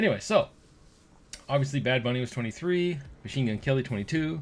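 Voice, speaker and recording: This man talks at a fairly quick pace with lively intonation, a medium pitch and a somewhat breathy quality. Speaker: gaming YouTuber. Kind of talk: casual video commentary. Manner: fast; animated.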